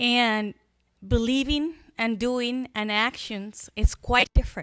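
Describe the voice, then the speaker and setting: Ordinary pitch variation marks this speaker with a Spanish accent, heard in a very clean recording with a silent background. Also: woman. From Chile. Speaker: school superintendent. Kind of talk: public speech.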